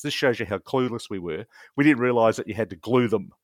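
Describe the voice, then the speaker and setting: On a very clean recording with a silent background, a man talks in an Australian accent. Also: dry, close sound with no echo. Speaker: wargamer and rules publisher. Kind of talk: casual interview chat. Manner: animated.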